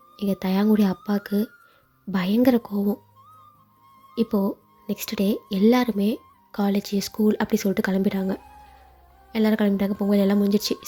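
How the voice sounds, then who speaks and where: Music plays in the background as a woman speaks. Her medium-pitched voice is monotone, with flat intonation. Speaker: fan fiction narrator. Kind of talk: read story with character dialogue.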